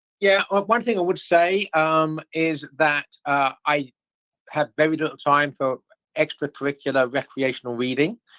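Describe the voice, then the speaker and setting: Dry and close with no echo, a man's fairly high-pitched voice carries a bright, sharp tone. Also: ordinary pitch variation, moderate pace. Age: 60s. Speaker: author and lecturer. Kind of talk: livestreamed Q&A discussion. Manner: hesitant, many repetitions and fillers.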